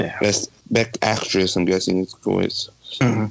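Noticeable background noise sits behind a man with a fairly low pitch. He speaks fairly slowly with fairly even intonation. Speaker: podcast co-host. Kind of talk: casual chat.

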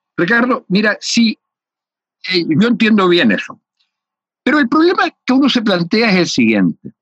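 Using lively intonation and a high pitch, a man talks at a moderate pace with long, frequent pauses. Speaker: sociologist radio host. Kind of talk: interview. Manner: hesitant with many fillers.

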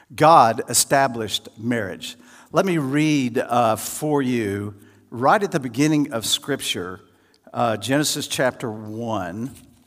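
A man's medium-pitched voice with lively intonation at a very slow pace, in a very clean recording with a silent background. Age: 70s. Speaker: guest pastor. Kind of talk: sermon. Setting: church with audience.

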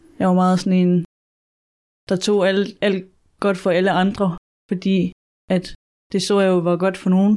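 A woman's medium-pitched, dark, mellow voice, monotone and flat, at a fairly slow pace with long, frequent pauses and very even loudness, in a very clean recording against a silent background. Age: 20s. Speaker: student. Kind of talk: interview testimony. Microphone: poor sound quality.

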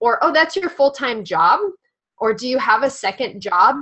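A woman's high-pitched voice with very wide pitch swings at a moderate pace. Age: 20s. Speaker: podcast co-host and spiritual healer. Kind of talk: casual chat.

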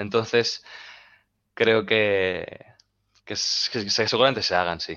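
A man talks at a very slow pace with long, frequent pauses and fairly even intonation. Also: medium pitch for a man. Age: 20s. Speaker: basketball coach and club founder. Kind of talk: casual chat.

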